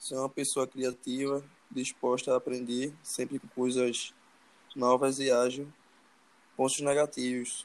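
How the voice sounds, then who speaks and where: A man with a medium-pitched voice speaks at a fairly slow pace in a monotone, flat manner. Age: 20s. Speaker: job interview candidate, student role-play. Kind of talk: mock job interview.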